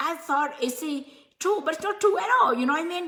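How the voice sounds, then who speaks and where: A non-native accent comes through in this raised, projected voice with lively intonation. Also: woman. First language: not English. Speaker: motivational speaker / coach. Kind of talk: live stream motivational talk. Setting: live stream. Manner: halting, many fillers.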